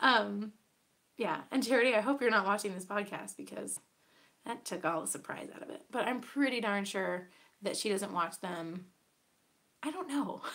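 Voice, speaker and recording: A woman's medium-pitched voice with vocal fry, moving at a moderate pace broken by long, frequent pauses. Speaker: podcast host. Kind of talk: casual chat. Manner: hesitant with fillers.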